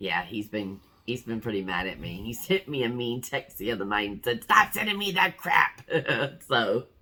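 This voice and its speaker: A woman's very deep, low pitch with very wide pitch swings, at a moderate pace over noticeable background noise. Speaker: vlogger sharing weight loss surgery journey. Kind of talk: casual vlog chat.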